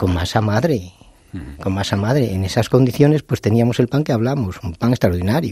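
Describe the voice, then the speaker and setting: With a normal speaking voice, a man talks at a medium pitch and a fairly quick pace with lively intonation. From León, Spain. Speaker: baker. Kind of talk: interview.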